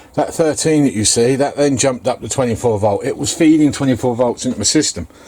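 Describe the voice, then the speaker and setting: Noticeable background noise behind a fairly quick male voice of medium pitch and ordinary pitch variation. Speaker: DIY vehicle builder vlogger. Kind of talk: casual vlog talk.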